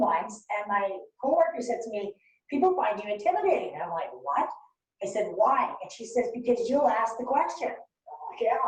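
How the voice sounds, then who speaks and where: Speaking at a fairly quick pace in a room with audible echo, a woman uses a high pitch, very wide pitch swings and an animated tone. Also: big swings in loudness. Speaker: workshop facilitator. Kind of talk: workshop presentation. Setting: webinar.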